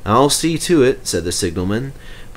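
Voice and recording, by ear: Someone reads aloud here in a natural voice.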